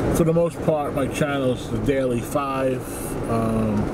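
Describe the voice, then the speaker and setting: A man talks very slowly while loud background noise fills the clip. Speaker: channel host. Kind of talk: casual vlog chat. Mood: calm, reflective. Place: car. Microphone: phone near.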